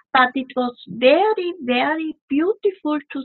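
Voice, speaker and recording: Lively intonation runs through this woman's speech. She talks with a non-native accent. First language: not English. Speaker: spiritual delegate. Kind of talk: casual chat. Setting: video call.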